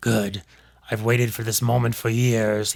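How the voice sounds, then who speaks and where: A quiet, raspy put-on character voice speaks at a moderate pace with monotone, flat intonation. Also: man, medium pitch for a man. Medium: read story. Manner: chilling, menacing.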